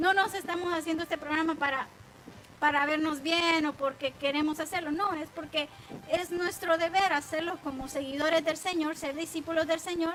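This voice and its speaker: A woman's extremely high voice, monotone and flat, at a moderate pace. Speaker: women's ministry Bible teacher. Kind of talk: online Bible teaching program.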